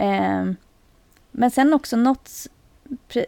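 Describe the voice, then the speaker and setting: With a dark, mellow tone, the voice moves at a fairly slow pace in a dry, close sound with no echo. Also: woman. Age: 40s. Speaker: retail worker and CrossFit athlete. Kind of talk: casual chat.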